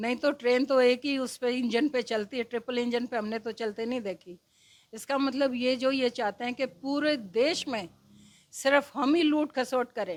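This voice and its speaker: Recorded very cleanly against a silent background, a woman talks in a high voice with ordinary pitch variation. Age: 60s. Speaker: former resident welfare association president. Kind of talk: interview. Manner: animated.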